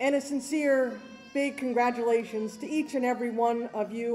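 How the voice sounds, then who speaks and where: A woman's high voice with ordinary pitch variation at a moderate pace. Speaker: law school dean. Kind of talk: commencement speech. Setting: stage with audience. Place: hall. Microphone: podium.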